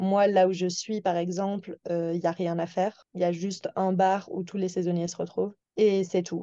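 At a moderate pace, a woman speaks in a medium pitch with a dark, mellow tone and monotone, flat intonation. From France, Toulouse. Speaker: seasonal worker, waitress. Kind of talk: casual interview. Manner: hesitant, many fillers.

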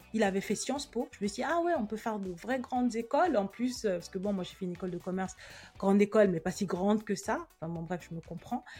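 Talking at a very fast pace, a woman with a medium pitch and a dark, mellow tone sounds somewhat breathy, her intonation lively. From Cameroon, then France from age 8. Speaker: podcast host, personal finance coach. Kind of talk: personal monologue, introspective. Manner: casual, many hesitations.

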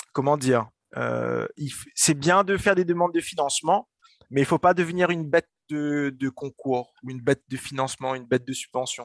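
A man with a fairly high voice speaks at a moderate pace, his pitch varying in an ordinary way. The sound is dry and close, with no echo. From Réunion, Saint-Denis. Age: 20s. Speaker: entrepreneur. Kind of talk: interview. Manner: animated; halting.

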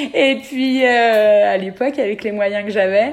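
A woman speaks at a fairly high pitch with ordinary pitch variation. Noticeable background noise sits behind her. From France, Beaujolais area. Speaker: dentist. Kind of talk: interview.

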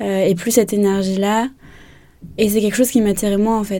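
A woman at medium pitch speaks at a moderate pace with fairly even intonation and a dark, mellow tone. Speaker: yoga teacher. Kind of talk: interview. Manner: calm.

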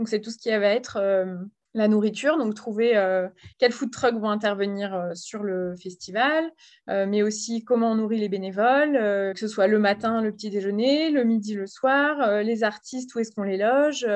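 A woman speaks in an ordinary speaking voice at a fairly slow pace. Her pitch is fairly high with ordinary pitch variation, against a quiet background. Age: 30s. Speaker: volunteer at a women's health association. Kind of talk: interview.

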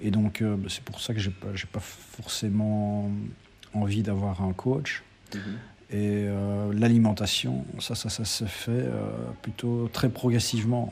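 A man at a fairly low pitch with ordinary pitch variation, speaking very slowly over noticeable background noise. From Belgium, Liège area. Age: 40s. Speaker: amateur ultra trail runner. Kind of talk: interview. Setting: café. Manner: halting, many repetitions.

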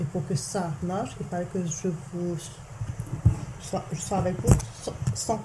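Against noticeable background noise and audible room echo, a woman speaks very slowly at a fairly low pitch with lively intonation. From Mauritius, part of childhood in England. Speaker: mother telling her life story. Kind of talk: family life-story interview. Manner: hesitant, many fillers.

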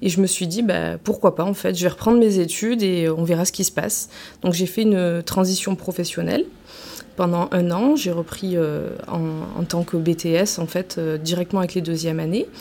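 Her tone dark and mellow, a woman speaks at a fairly low pitch and a moderate pace with fairly even intonation. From Marseille, southern France. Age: 30s. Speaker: career training advisor. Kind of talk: interview. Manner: hesitant, frequent fillers.

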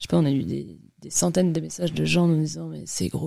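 On a very clean recording with a silent background, the voice moves at a fairly quick pace. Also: woman. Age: 30s. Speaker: entrepreneur, company founder. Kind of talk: interview. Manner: casual.

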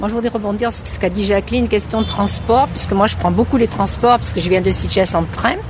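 Amid noticeable background noise, the speaker moves at a fairly quick pace. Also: woman. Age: 70s. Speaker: retiree. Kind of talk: casual interview.

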